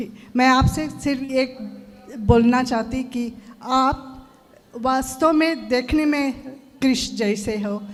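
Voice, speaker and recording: A woman's high voice with a non-native accent, fairly even intonation and noticeable background noise. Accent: non-native Hindi. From Fiji. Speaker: audience member, devotee. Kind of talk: devotee addressing guru. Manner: halting.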